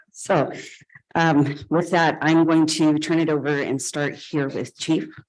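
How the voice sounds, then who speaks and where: Her voice is very deep and low, flat and monotone. This woman talks at a fairly slow pace in a room with audible echo. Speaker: city manager. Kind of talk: council meeting report.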